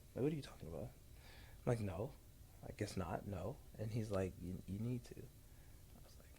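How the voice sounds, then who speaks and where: An American-accented voice with a dark, mellow tone and vocal fry moves at a moderate pace with lively intonation. Loudness swings widely, and long pauses come often. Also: man, fairly low pitch for a man. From Ohio, Columbus. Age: 20s. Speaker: entrepreneur and speaker. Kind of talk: casual chat.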